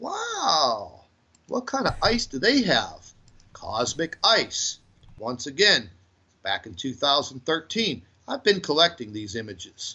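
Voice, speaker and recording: A man's fairly high voice with vocal fry, very wide pitch swings and a very slow pace. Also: big swings in loudness. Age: 40s. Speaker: conspiracy channel owner. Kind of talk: interview. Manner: animated.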